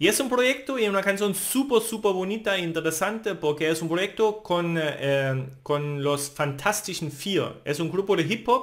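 Against a quiet background, a man with a German accent talks fairly slowly with lively intonation. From Germany, Thuringia. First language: German (speaking Spanish). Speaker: language teacher. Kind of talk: tutorial. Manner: halting.

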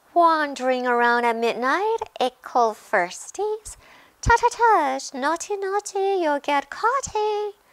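In a put-on character voice, the speaker cackles in a high, sing-song delivery with very wide pitch swings at a fairly slow pace. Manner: sing-song, taunting, cackling.

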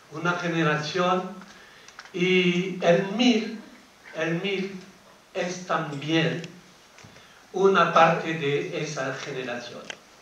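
A man with a high pitch speaks at a very slow pace with ordinary pitch variation and long, frequent pauses, amid audible room echo and light background noise. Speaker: speaker. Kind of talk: public talk. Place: hall.

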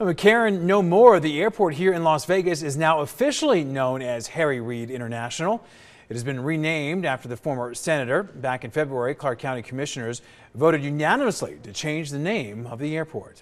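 Using an unremarkable speaking voice, a man speaks in a fairly high pitch with lively intonation. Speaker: news anchor. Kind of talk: news reading. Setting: studio.

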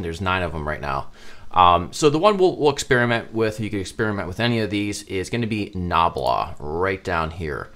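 A man's unremarkable speaking voice at a moderate pace. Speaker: web design instructor. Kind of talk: tutorial.

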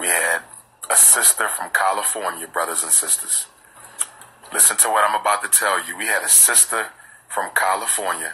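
Light background noise sits behind a man who speaks at a moderate pace with long, frequent pauses. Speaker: speaker. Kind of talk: casual vlog chat. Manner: drowsy, relaxed talk in bed. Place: home room. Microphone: phone near.

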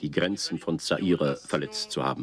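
A man with lively intonation at a moderate pace. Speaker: news anchor. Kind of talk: TV news reading. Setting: studio, 1970s broadcast recording. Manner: formal, measured.

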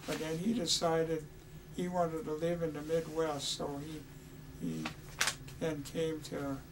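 A man's voice with ordinary pitch variation and noticeable background noise. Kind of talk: oral history interview answer. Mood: warm, nostalgic.

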